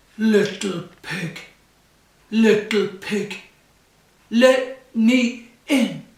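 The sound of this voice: A put-on character voice with fairly high pitch speaks at a very slow pace, with long, frequent pauses and a slight echo.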